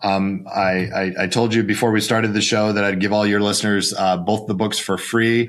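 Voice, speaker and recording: The delivery is fairly quick, with monotone, flat intonation and very even loudness. Noticeable background noise sits behind it. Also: man, fairly low pitch for a man. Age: 50s. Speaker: financial advisor and author. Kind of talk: podcast interview. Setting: home office.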